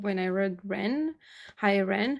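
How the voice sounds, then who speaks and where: Very slow in pace, a woman with a Romanian accent speaks at a medium pitch. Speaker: YouTube music reactor. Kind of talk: casual vlog talk to camera. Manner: halting, many fillers.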